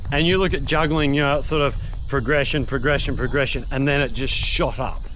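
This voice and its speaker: A man with an Australian accent talks at a fairly quick pace, his loudness very even. Audible room echo and noticeable background noise fill the recording. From Western Australia (Albany). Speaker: youtuber and juggler. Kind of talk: casual chat. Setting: outdoors.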